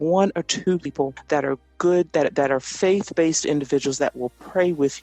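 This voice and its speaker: Music runs in the background while a woman talks at a moderate pace. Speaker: radio/TV personality, voice-over talent. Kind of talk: interview answer.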